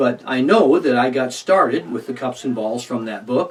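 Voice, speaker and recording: Noticeable background noise behind a male speaker with ordinary pitch variation. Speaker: magician. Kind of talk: tutorial. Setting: alone in a room recording. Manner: fast.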